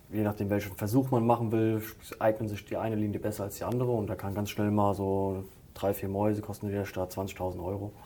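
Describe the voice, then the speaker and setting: With a Hessian accent, a man speaks at a moderate pace in a dark, mellow tone. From Hesse, Limburg-Weilburg area. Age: 30s. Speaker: animal caretaker. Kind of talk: interview.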